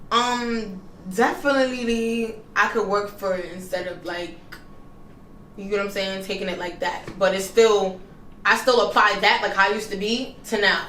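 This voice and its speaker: In a Bronx accent, a woman talks at a medium pitch with fairly even intonation and big swings in loudness, amid audible room echo and noticeable background noise. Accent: New York, Bronx. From New York City, the Bronx. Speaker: rapper. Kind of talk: interview. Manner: casual, slangy.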